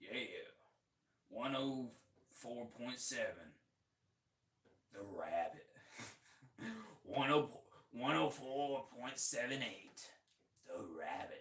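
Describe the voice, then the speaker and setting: A man's put-on character voice at medium pitch, very slow, with long, frequent pauses. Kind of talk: radio DJ.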